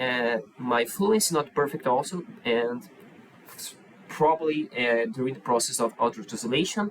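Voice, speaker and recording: A man with a Portuguese accent talks at a moderate pace and medium pitch, with lively intonation and very even loudness. Noticeable background noise runs underneath. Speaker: YouTuber. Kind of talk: react video commentary. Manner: halting.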